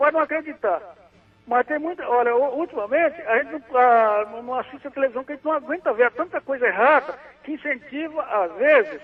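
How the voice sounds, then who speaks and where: A man's extremely high-pitched voice at a very fast pace, with music in the background. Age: 70s. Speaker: caller. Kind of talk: phone-in chat. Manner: halting.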